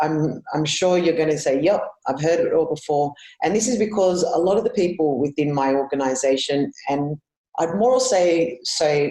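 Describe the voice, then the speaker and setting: A woman with an Australian accent speaks at a moderate pace in a very deep, low voice with a dark, mellow tone. Her intonation is lively while her loudness stays very even. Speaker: conference speaker. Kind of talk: conference presentation. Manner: hesitant, many fillers.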